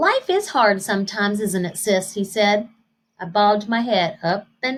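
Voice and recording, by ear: Someone reads aloud in a natural voice, the pitch varying in an ordinary way. The background stays quiet.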